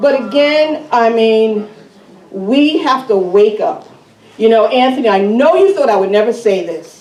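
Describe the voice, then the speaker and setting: A woman speaks at a fairly slow pace in a fairly high pitch, with an animated tone and lively intonation, over noticeable background noise and audible room echo. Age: 60s. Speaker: resident speaking at town meeting, former school board member. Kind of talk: public comment at town meeting.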